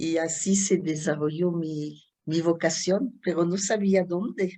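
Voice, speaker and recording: Against a quiet background, a woman with a French accent speaks very slowly in a fairly low pitch, with a dark, mellow tone and fairly even intonation. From France, Chartres. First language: French (speaking Spanish). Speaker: Dominican nun and artist. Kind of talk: interview. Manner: hesitant, many fillers.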